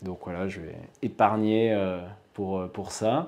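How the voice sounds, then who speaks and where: A man talks in a fairly low pitch. His tone is dark and mellow. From Auvergne, France (Haute-Loire); Auvergne, France. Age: 30s. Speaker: company president. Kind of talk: self-introduction video. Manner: hesitant, many fillers. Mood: relaxed, smiling. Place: office.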